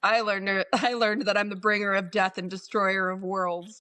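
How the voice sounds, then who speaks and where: A put-on character voice sits at a middle pitch and moves at a moderate pace. Its intonation is monotone and flat. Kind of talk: deadpan, ominous. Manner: monotone, flat.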